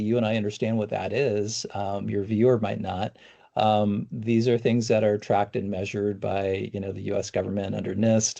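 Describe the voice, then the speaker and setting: A man speaks at a fairly quick pace in a fairly low pitch, with a dark, mellow tone. His intonation is monotone and flat, over a quiet background. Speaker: cyber insurance expert. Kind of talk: podcast interview. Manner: fast, self-correcting with fillers.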